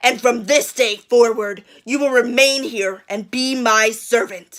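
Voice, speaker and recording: In a growling, put-on character voice, a woman speaks at a fairly high pitch. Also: fairly slow pace. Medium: read story. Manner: snarling.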